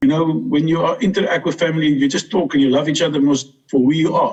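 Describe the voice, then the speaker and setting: With a South African accent, a fairly high-pitched man speaks at a fairly quick pace, showing ordinary pitch variation and very even loudness. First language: Afrikaans. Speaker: interviewee, adoptive brother. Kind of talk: interview. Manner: halting.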